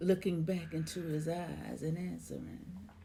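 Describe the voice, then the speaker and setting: Woman speaking at a very slow pace. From Memphis, Tennessee. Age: 60s. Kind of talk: poetry reading.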